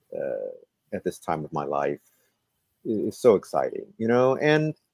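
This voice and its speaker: The recording of a man speaking at a moderate pace sounds dry and close, with no echo. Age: 60s. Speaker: comedy performer and show host. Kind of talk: interview.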